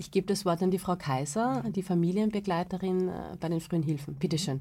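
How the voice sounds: A woman talks at a fairly quick pace in a fairly low pitch. Her tone is dark and mellow, with ordinary pitch variation.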